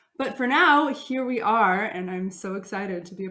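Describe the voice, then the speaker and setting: With an American accent, this voice shows ordinary pitch variation against audible room echo. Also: woman. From Russia. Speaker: opera singer. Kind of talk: concert introduction. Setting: video recording. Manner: animated.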